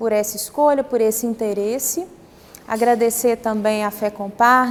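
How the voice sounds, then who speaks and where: Amid noticeable background noise, a woman with a Minas Gerais accent speaks fairly slowly at a fairly high pitch with fairly even intonation. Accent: mineiro. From Brazil, Minas Gerais (Belo Horizonte). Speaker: psychologist and workshop facilitator. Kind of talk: workshop presentation.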